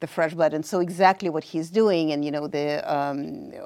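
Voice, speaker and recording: Speaking at a moderate pace with a Russian accent, a woman has a fairly low pitch, ordinary pitch variation and a dark, mellow tone. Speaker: professor of international affairs. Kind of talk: panel discussion.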